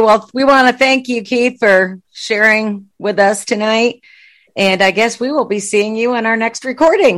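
A woman talks at a fairly slow pace in an unremarkable speaking voice, pitched fairly high with ordinary pitch variation. The recording is very clean, with a silent background. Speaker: podcast co-host interviewing. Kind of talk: casual interview chat.

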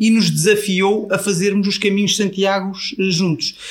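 This man has a high-pitched voice. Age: 40s. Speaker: travel influencer. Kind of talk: casual interview.

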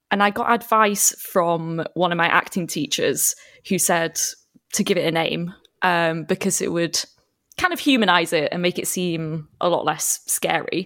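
On a very clean recording with a silent background, a woman with a normal speaking voice talks at a fairly slow pace, fairly low in pitch and with ordinary pitch variation. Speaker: actor and podcaster. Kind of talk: casual chat.

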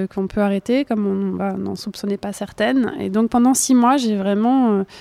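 At a moderate pace, a woman with a dark, mellow tone speaks at medium pitch with fairly even intonation. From France, Burgundy. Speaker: journalist and author. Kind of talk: interview. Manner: halting.

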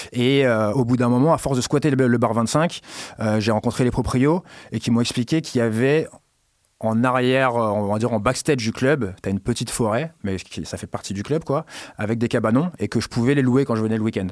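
A man with a plain, everyday voice, medium pitch and ordinary pitch variation, talking at a fairly quick pace on a very clean recording with a silent background. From Paris suburbs, Garges-lès-Gonesse. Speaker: club and party organizer. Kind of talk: casual interview.

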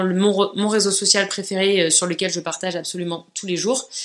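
A woman talks fairly quickly at a medium pitch. Noticeable background noise is present. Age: 30s. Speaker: podcaster and YouTuber. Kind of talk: solo podcast monologue, casual.

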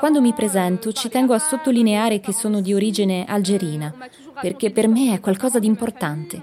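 Noticeable background noise accompanies a woman whose fairly high voice has lively intonation. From France, Nanterre banlieue. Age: young. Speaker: student. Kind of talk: interview testimony.

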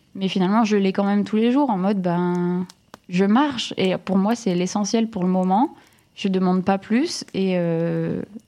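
A woman at a medium pitch with ordinary pitch variation, very even loudness and a fairly slow pace, over noticeable background noise. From northern France, Lille area. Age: 30s. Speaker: content creator. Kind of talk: interview. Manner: halting.

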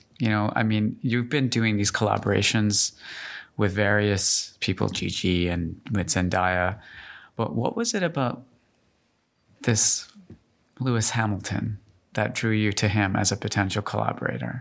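With ordinary pitch variation and very even loudness, a man with a fairly low pitch speaks, leaving long, frequent pauses. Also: moderate pace. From Canada. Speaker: fashion journalist and podcast host. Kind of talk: interview. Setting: studio.

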